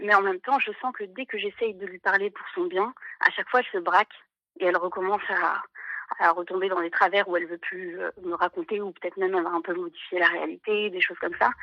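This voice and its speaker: A woman talks at a fairly quick pace in a shaky voice with a medium pitch. Her intonation is fairly even, while her loudness swings widely. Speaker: caller. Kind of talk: personal testimony on live call-in. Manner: halting, many hesitations; trembling voice.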